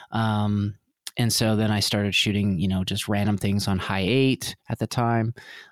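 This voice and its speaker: With a Canadian accent, a man speaks at a moderate pace in a plain, everyday voice, the sound dry and close with no echo on a very clean recording with a silent background. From Vancouver, Canada. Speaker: film director and cinematographer. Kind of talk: interview.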